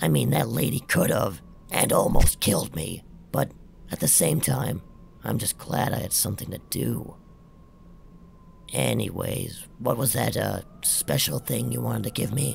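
A man's put-on character voice, very deep and low, at a moderate pace with long, frequent pauses and clear background noise. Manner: casual, wisecracking, cocky.

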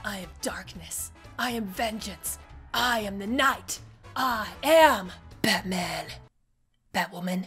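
A put-on character voice from a woman, raspy and medium-pitched, at a fairly slow pace with long, frequent pauses and faint background music

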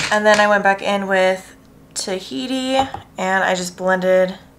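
A woman speaks with ordinary pitch variation over noticeable background noise. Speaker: makeup vlogger. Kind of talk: tutorial. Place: home room.

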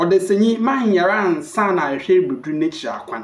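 A man's fairly high-pitched voice with big pitch swings.

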